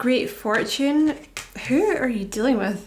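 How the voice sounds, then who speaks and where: With audible room echo around her, a woman talks at a moderate pace. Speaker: tarot reader. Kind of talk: tarot reading. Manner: casual, halting with fillers.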